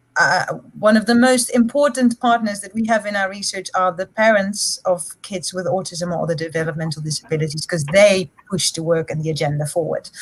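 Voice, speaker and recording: Speaking in a Dutch accent, a woman talks at a fairly quick pace with a medium pitch and lively intonation. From Netherlands. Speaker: psychology lecturer and researcher. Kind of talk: panel discussion.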